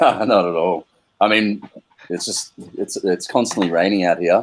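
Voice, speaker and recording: Speaking at a moderate pace, a man with an Australian accent has a fairly low-pitched voice. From Australia (Melbourne). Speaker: crypto community member. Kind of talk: casual chat. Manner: halting.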